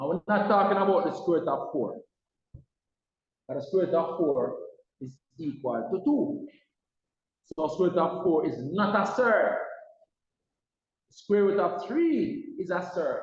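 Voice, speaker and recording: In a room with audible echo, a man speaks loudly and fairly slowly in a high voice, his pitch swinging very widely between long, frequent pauses. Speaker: maths teacher. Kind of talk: lecture. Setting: online class.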